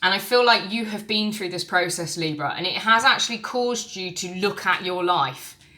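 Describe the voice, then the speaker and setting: Over noticeable background noise, a woman talks with hardly any pauses. Her voice is medium in pitch with ordinary pitch variation. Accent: English. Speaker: tarot reader. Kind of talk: tarot reading monologue. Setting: recorded on camera. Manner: fast.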